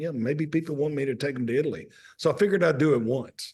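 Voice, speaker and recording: With a Mississippi accent, a man speaks very fast at a fairly high pitch with ordinary pitch variation. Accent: Southern US (Mississippi). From US South, Mississippi. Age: 60s. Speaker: restaurant owner and author. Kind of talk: casual interview chat.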